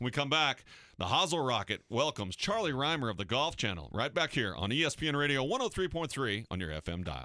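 A man with an American accent speaks at a moderate pace in a medium pitch with a bright, sharp tone and vocal fry. His pitch swings very widely, and the recording is very clean with a silent background. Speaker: radio host and caddy. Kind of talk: sports radio talk show. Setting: radio studio.

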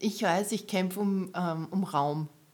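With fairly even intonation, a woman's speech unfolds at a fairly slow speed. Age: 30s. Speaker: photographer and camerawoman. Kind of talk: casual chat.

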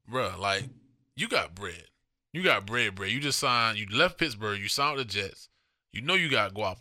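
In a very clean recording with a silent background, a man with a medium pitch sounds animated, his tone bright and sharp and his intonation lively. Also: moderate pace. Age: 30s. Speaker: podcast co-host. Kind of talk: casual chat.

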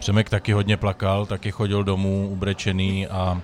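A man's fairly low voice at a fairly quick pace. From Czech Republic, Moravia. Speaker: cooking show winner, graphic designer. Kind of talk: casual chat.

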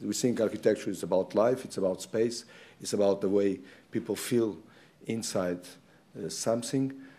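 A man speaks in a Portuguese accent at a fairly quick pace and fairly low pitch, his tone dark and mellow. The recording is very clean, with a silent background. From Portugal. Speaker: architect giving a lecture. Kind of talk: lecture. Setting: lecture hall with slides.

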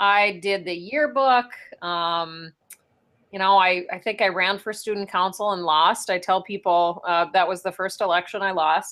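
The speaker has an Upper Midwest accent and a fairly slow pace. The recording is very clean, with a silent background. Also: woman, medium pitch for a woman, ordinary pitch variation. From North Dakota (Ray). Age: 30s. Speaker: state senator. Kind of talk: interview.

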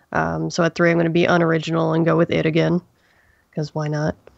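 Over a quiet background, a woman's voice comes through dry and close, with no echo. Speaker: horror storyteller. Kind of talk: casual chat.

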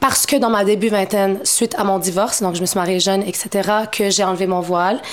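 A woman speaks at a medium pitch, fairly quickly, with fairly even intonation and very even loudness. Noticeable background noise and audible room echo are present. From Montreal, Quebec (Moroccan family). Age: 30s. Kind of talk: casual interview conversation.

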